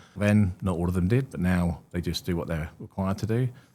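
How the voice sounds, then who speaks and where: A man speaks here. His pitch is very deep and low. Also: big swings in loudness. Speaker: reward and benefits consultant. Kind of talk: podcast interview. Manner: hesitant, many fillers.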